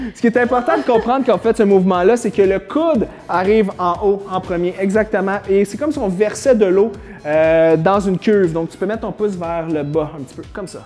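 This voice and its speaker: Over music in the background, a man talks at a fairly quick pace in a high voice with ordinary pitch variation. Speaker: fitness trainer. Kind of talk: exercise tutorial. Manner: fast.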